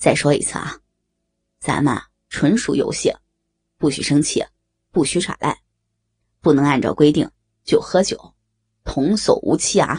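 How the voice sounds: A woman's put-on character voice, low-pitched with a husky, rough edge and slightly mellow tone, lively in intonation at a fairly slow pace with long, frequent pauses, on a very clean recording with a silent background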